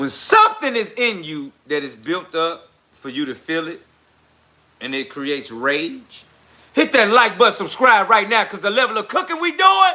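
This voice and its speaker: At a moderate pace, a raised, projected voice with a bright, sharp tone moves through very wide pitch swings and big swings in loudness. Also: man, high pitch for a man. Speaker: live-stream political commentary host. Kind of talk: live stream commentary reading chat comments. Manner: passionate, intense.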